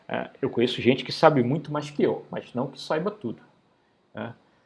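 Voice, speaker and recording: A man's fairly high pitch with vocal fry and ordinary pitch variation. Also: long, frequent pauses, big swings in loudness. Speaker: university professor. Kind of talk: lecture. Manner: fast; casual, conversational.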